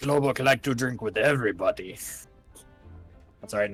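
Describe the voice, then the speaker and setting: A man's put-on character voice in a Russian accent, medium in pitch and fairly quick, over faint music in the background. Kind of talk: acted, practicing the accent.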